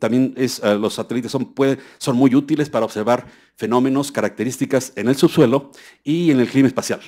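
A man speaks at a moderate pace with a dark, mellow tone and fairly even intonation against a quiet background. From Mexico. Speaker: scientist at a US federal agency; lecturer. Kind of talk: keynote lecture. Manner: halting, many fillers. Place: hall.

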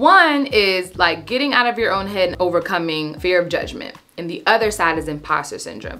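Animated and with lively intonation, a woman speaks at a fairly quick pace with hardly any pauses. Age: 30s. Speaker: lifestyle content creator. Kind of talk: casual vlog tutorial. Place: home room.

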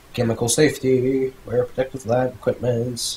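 This man's tone is dark and mellow. There is some breathiness in it. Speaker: gaming youtuber. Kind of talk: let's play commentary. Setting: home recording, playing game. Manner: casual, chatty.

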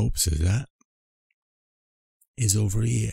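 A man puts on a raspy character voice with a Cockney accent. His pitch sits fairly low. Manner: deliberately poor imitation.

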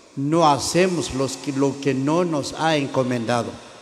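Audible room echo surrounds a man speaking at medium pitch with ordinary pitch variation.

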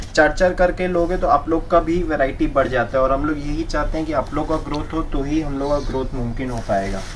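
A man's fairly quick speech with ordinary pitch variation over light background noise. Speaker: saree seller. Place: shop.

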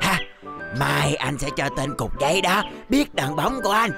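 A man's cartoonish character voice, fairly high-pitched, bright and sharp, with vocal fry, at a moderate pace, over faint music in the background. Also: lively intonation.

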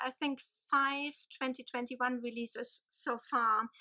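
Over a quiet background, a woman with a German accent projects a raised voice at a high pitch with a bright, sharp tone. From Germany. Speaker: book vlogger. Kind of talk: casual vlog. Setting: home. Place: home room. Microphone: phone near.

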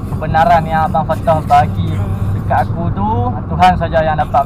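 A man's voice comes through a dry sound with no echo, set against loud background noise. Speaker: fishing vlogger. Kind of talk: casual vlog chat. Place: car. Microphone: phone near.

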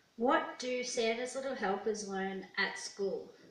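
A woman speaks with an Australian accent at a very slow pace. Her ordinary pitch variation carries through audible room echo. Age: 20s. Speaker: YouTuber. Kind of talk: casual vlog. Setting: at home alone. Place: home room.

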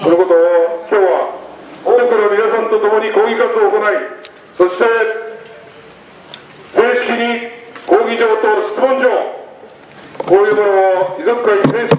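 Pausing long and often, a man speaks at a fairly slow pace and high pitch, with light background noise and audible room echo. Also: fairly even intonation. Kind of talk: rally speech. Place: street.

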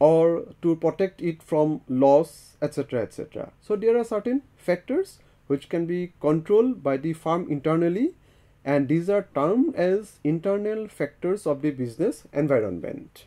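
Against a quiet background, a man with a high pitch talks at a fairly slow pace with lively intonation. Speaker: lecturer. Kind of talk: lecture. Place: studio. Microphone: lapel.

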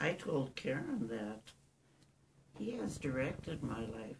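Speaking at a very slow pace, a woman has a very deep, low pitch. Vocal fry runs through her voice. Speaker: interviewee. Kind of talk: interview answer. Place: home room. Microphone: camera far.

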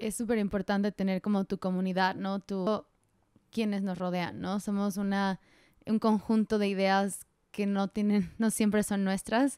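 A woman speaks at a fairly slow pace in a medium pitch, her dark, mellow tone delivered in a monotone, flat intonation with a dry sound and no echo. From Mexico, Morelos; Mexico. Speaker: podcast host. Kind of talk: casual interview. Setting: in person, Monterrey. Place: home room. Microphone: handheld.

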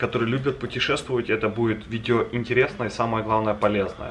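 A man talks at a fairly quick pace. There is light background noise behind him. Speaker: travel vlogger. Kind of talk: casual vlog chat. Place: home room. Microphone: camera far.

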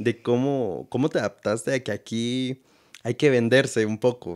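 Ordinary pitch variation marks this man's speech, delivered at a moderate pace. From Guatemala. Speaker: podcast host. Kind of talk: interview. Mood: relaxed, smiling. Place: home room. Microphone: studio mic.

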